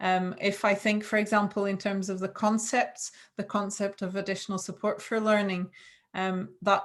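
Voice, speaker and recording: Speaking with a non-native accent, a woman talks at a fairly slow pace. Her pitch is medium. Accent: non-Scottish foreign. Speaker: education lecturer. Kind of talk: webinar presentation.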